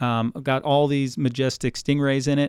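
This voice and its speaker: With an American accent, a man with an unremarkable speaking voice talks at a moderate pace, his medium pitch moving in fairly even intonation. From US Midwest, Cleveland, Ohio. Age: 40s. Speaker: aquarium supervisor. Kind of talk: interview. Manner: frequent fillers and repetitions.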